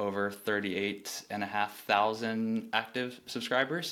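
Fairly low in pitch, a man talks in a normal speaking voice. His pace is fairly slow and his intonation fairly even. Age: 30s. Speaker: newsletter founder. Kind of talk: casual interview chat.

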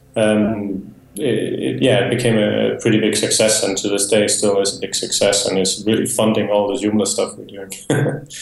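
With a Danish accent, a man talks at a moderate pace with hardly any pauses and ordinary pitch variation. His voice has vocal fry, and room echo is audible. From Denmark. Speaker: software developer and business owner. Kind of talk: interview.

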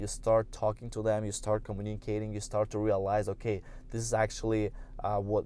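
In a Russian accent, a man speaks at a fairly quick pace and a fairly low pitch. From Russia, St. Petersburg. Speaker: podcaster, business and social media coach. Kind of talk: casual solo talk. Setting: in a car.

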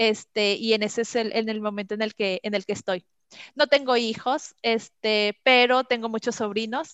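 A woman's fairly high voice with a Mexican accent, at a moderate pace and with fairly even intonation. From Mexico. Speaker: customer experience trainer. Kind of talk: interview.

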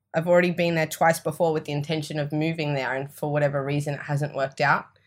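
A woman with an Australian accent speaks in a very deep, low pitch with monotone, flat intonation on a very clean recording with a silent background. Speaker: energy and mindset coach. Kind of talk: casual interview chat.

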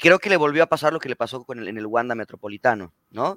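A man speaks very fast in a Mexican accent with ordinary pitch variation. The sound is dry and close, with no echo. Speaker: football podcast co-host. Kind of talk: casual chat.

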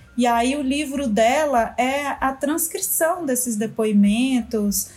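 At a very slow pace, a woman talks in a high pitch with ordinary pitch variation. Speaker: teacher and writer. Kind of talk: casual chat.

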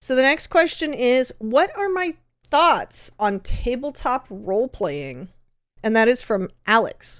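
Speaking very slowly with an American accent, this voice swings very widely in pitch over a very clean recording with a silent background. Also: woman, high pitch for a woman. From Southern California. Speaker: podcast host and content creator. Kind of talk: solo Q&A monologue. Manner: casual, with fillers.

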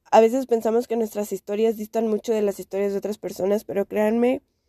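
Dark and mellow, the tone belongs to a woman. No echo is present, the sound dry and close. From Mexico, Xalapa, Veracruz. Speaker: podcast host, LGBT activist. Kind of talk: personal monologue podcast. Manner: casual, filler-heavy speech.

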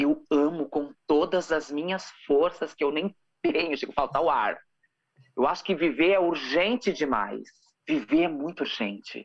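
This woman has a Rio Grande do Sul accent. She speaks at a fairly slow pace in an animated tone. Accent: gaúcho (Rio Grande do Sul). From southern Brazil, rural Rio Grande do Sul. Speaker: singer and actress. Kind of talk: casual interview.

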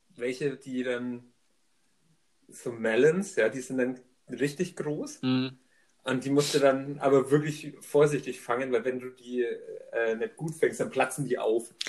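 A man of medium pitch talks very slowly with fairly even intonation, leaving long, frequent pauses. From Upper Franconia, Germany. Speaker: podcast co-host. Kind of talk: casual chat.

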